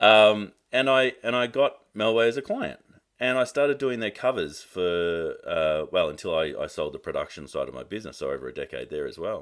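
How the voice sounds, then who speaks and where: With an Australian accent, a man speaks at a moderate pace with hardly any pauses. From Australia (Melbourne). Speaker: marketing coach and business advisor. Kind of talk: casual interview chat.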